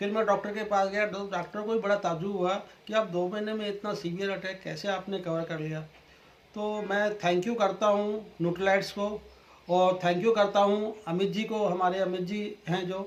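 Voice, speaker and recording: A man with a high pitch talks in a monotone, flat intonation at a moderate pace against noticeable background noise. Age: 60s. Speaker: customer giving testimonial. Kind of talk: testimony.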